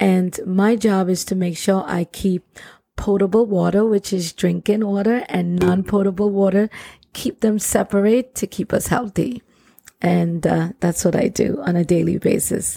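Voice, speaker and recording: A woman's medium-pitched voice with a Trinidadian accent, dark and mellow in tone, with fairly even intonation at a moderate pace, in a dry, close sound with no echo. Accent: Trinidadian Caribbean. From Trinidad and Tobago. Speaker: plumber and nonprofit founder. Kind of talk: casual interview conversation.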